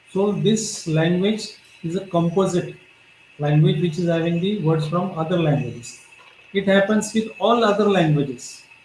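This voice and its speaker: Amid noticeable background noise and audible room echo, a man talks at a moderate pace with a high pitch and ordinary pitch variation. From Maharashtra, India. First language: Marathi. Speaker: professor. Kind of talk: lecture.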